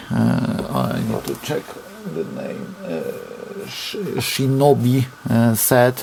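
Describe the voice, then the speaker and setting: Amid noticeable background noise, a man of medium pitch speaks very slowly in a Polish accent. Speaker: RC hobby reviewer. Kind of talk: product review. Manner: halting.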